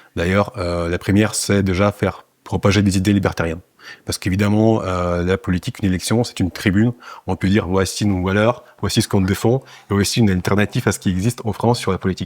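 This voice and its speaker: In a dry, close sound with no echo, a man talks at a very fast pace and a fairly low pitch with fairly even intonation. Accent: Russian. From Russia. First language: Russian (speaking French). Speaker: political party leader. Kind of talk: interview. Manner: hesitant, many fillers.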